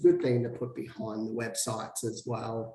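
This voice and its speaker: A man with an Australian accent at a moderate pace, over noticeable background noise. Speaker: SEO consultant. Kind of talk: tutorial.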